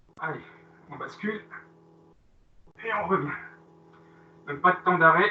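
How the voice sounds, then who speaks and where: Speaking fairly slowly at a high pitch, a man uses ordinary pitch variation, big swings in loudness, and long, frequent pauses. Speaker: fitness coach. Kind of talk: live workout class instruction.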